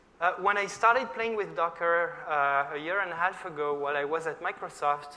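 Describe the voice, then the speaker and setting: In a room with audible echo, a man with a French accent speaks at a moderate pace, his high pitch showing ordinary variation. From France. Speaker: software engineer, conference speaker. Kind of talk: conference talk. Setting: stage with audience.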